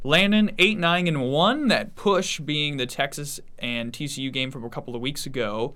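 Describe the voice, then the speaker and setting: A man talks with hardly any pauses in an animated, upbeat way. His tone is bright and sharp, his intonation lively. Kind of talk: radio-style sports patter: punchy, scripted teases and sign-off hype. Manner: animated, upbeat, polished broadcaster delivery with quick teaser rhythm.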